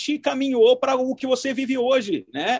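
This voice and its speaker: A man speaks at an extremely high pitch. The sound is dry and close, with no echo. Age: 30s. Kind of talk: interview.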